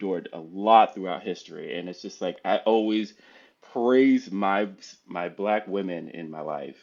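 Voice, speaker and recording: Big swings in loudness mark a man's speech in an American accent, with ordinary pitch variation. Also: fairly low pitch for a man, fairly slow pace. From New Jersey, US. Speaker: podcast guest. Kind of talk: casual interview chat.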